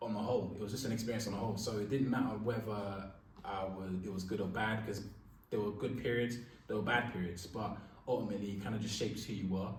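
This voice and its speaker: Very fast speech from a man with a London accent and a fairly low pitch, amid noticeable background noise and audible room echo. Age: 20s. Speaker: radio presenter. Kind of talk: interview.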